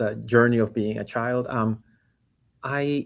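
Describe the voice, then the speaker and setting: Very slowly, a man speaks at a medium pitch with a Panamanian accent. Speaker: startup founder and CEO. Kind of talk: interview. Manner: halting, many fillers and repetitions.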